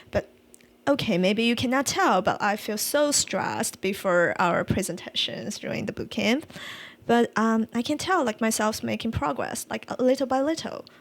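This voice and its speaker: A woman's fairly high voice with vocal fry, lively intonation and a moderate pace. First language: not English. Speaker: UX design podcast co-host. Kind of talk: casual chat. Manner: halting.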